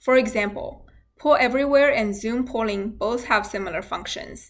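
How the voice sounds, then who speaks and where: A woman with a non-native accent speaks at a moderate pace, her fairly high pitch carried by lively intonation. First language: not English. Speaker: university nursing instructor. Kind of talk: scripted instructional talk. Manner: formal.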